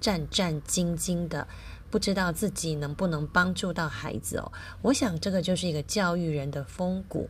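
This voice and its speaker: At a moderate pace, a woman talks in a fairly low pitch with a somewhat breathy voice. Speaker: podcast host and teacher. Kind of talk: casual radio-style talk.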